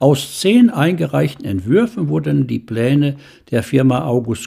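Vocal fry runs through a man's dark, mellow, medium-pitched voice as he talks at a fairly slow pace with very wide pitch swings. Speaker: local historian and author. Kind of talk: reading aloud.

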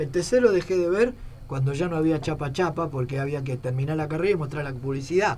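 Speaking with an Argentine accent, a man talks at a fairly quick pace. His pitch is fairly high, with ordinary variation. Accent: Rioplatense Argentine Spanish. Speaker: retired footballer. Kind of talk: interview.

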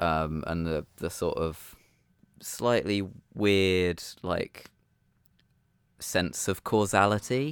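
A man speaks very slowly in a relaxed tone, with a very deep, low pitch and ordinary pitch variation, leaving long, frequent pauses. The recording is very clean, with a silent background. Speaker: podcast co-host. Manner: laughs often, relaxed.

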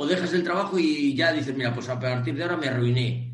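The voice moves at a fairly quick pace, with audible room echo. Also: man. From Spain, Cantabria. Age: 50s. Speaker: online training business founder, transport trainer. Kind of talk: interview. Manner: animated.

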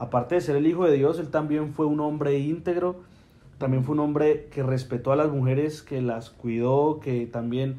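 A man's dark, mellow voice at a fairly high pitch with fairly even intonation. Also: moderate pace. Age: 20s. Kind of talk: casual faith conversation.

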